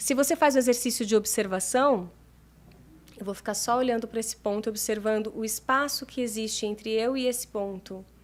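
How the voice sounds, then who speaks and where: A woman speaks at a moderate pace with an ordinary speaking voice. Her pitch sits fairly high and her intonation stays fairly even. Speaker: meditation mentor and therapist. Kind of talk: interview.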